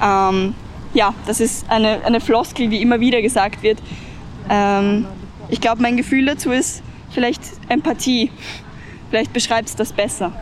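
A woman with a fairly high pitch and ordinary pitch variation speaks at a moderate pace at very even loudness, with long, frequent pauses. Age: 20s. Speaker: climate activist. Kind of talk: interview.

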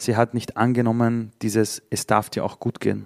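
A medium-pitched man, dry and close with no echo, on a very clean recording with a silent background. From Vienna, Austria (Simmering). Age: 40s. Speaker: speaker and entrepreneur. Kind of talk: live interview. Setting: stage with audience. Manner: animated.

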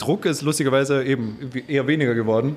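A man rattles off his words very fast while noticeable background noise carries on around him. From Vienna, Austria. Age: 20s. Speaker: head chef. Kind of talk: casual chat. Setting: restaurant.

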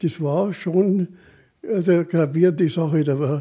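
Recorded very cleanly against a silent background, a man with a high pitch and a dark, mellow tone speaks at a very slow pace with ordinary pitch variation. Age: 80s. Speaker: retired mountaineer, expedition veteran. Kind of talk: storytelling interview.

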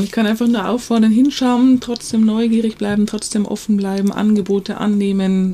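The pace is moderate and the intonation fairly level, with clear background noise behind it. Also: woman. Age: 50s. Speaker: nonprofit founder. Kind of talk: podcast interview.

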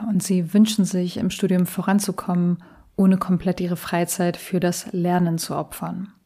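A woman speaks in a dark, mellow tone, somewhat breathy and monotone with flat intonation. The recording is very clean, with a silent background. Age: 30s. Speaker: study coach and podcast host. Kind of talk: solo podcast introduction.

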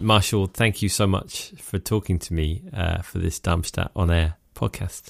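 A man speaks at a fairly slow pace with hardly any pauses, his pitch very deep and low. His voice is somewhat breathy and his intonation fairly even. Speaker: festival director and radio maker. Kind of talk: interview conversation. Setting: remote call.

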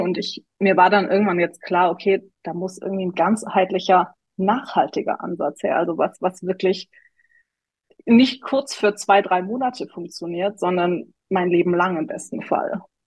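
At a moderate pace, a woman speaks at a medium pitch with ordinary pitch variation, in an unremarkable speaking voice. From Tübingen, southwest Germany. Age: 30s. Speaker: coaching client. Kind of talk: interview testimony.

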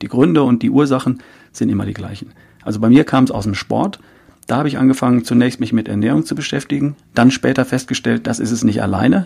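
A man speaks very fast with vocal fry, his medium-pitched voice dark and mellow in tone and his pitch moving in an ordinary way. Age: 50s. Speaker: health coach and podcaster. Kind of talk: interview.

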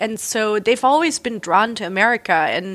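Speaking at a moderate pace, a woman talks in a German accent. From southern Germany (near Reutlingen, Swabia). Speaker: artist and writer. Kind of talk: interview conversation.

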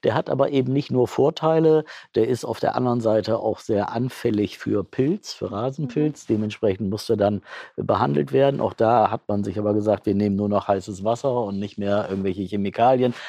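Fairly brisk delivery in a dark, mellow tone, the pitch moving in an ordinary way. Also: man, fairly low pitch for a man. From northern Germany, Bremen area. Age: 60s. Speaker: football club president. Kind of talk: interview. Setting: stadium catacombs.

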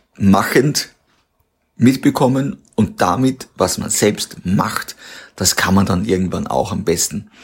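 A man talks at a fairly slow pace. His pitch is fairly low, with ordinary pitch variation. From Austria, Waldviertel. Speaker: company founder. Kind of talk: interview.

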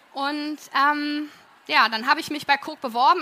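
A woman with a high pitch uses a raised, projected voice. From Berlin, Germany. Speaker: plant manager. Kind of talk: talk to an audience. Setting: auditorium with audience.

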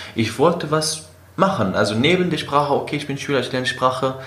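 A man talks amid noticeable background noise, his words carrying audible room echo. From Syria, Aleppo (Kurdish). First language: Kurdish or Arabic (speaking German). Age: 20s. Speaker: engineering student and city tour guide. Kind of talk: interview, personal life story. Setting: in person. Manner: hesitant, many fillers.

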